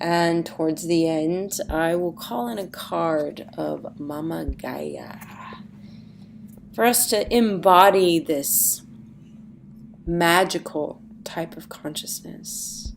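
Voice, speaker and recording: There is noticeable background noise behind this speaker. She is a woman with a fairly low pitch and lively intonation. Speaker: astrology and tarot coach. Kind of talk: weekly forecast podcast.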